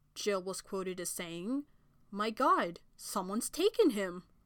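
A woman with a medium-pitched, unremarkable speaking voice talks at a fairly slow pace with lively intonation. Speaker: podcast host. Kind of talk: true-crime narration. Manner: measured, solemn storytelling pace; formal, sympathetic tone.

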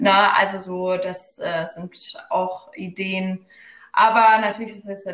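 Speaking very slowly, this woman keeps a medium pitch and fairly even intonation. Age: 20s. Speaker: psychology student and local party spokesperson. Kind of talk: casual interview. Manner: hesitant, many fillers.

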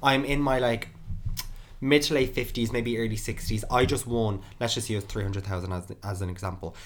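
In an Irish accent, a man talks at a moderate pace and a medium pitch with ordinary pitch variation. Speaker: podcast host. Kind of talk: casual chat.

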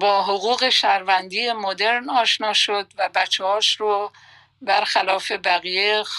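At a very slow pace, a woman talks with fairly even intonation and medium pitch, the sound dry and close with no echo. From Iran, Khuzestan (Masjed Soleyman). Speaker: retired radio journalist. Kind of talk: life story interview. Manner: calm, soothing.

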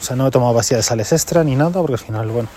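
Noticeable background noise accompanies a man's medium-pitched voice. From Madrid region, Spain. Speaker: podcast host, amateur runner. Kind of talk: casual monologue race report.

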